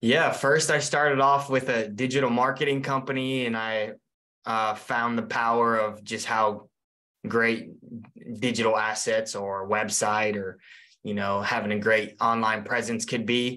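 At a fairly slow pace, a man talks in a medium pitch with a bright, sharp tone. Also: fairly even intonation. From raised in the US from age six, born in Mongolia. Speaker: entrepreneur, former pro soccer player; interview guest. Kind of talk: interview. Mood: relaxed, friendly. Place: home room. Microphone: webcam.

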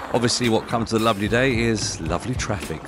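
A man talks at a very fast pace with ordinary pitch variation. The sound is dry with no echo, and clear music plays in the background. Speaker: travel vlogger. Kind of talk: casual vlog commentary. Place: motorbike.

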